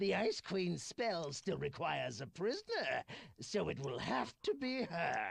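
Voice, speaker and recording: A man puts on a character voice, pitched high and delivered at a moderate pace. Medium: video game. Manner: theatrical, gloating.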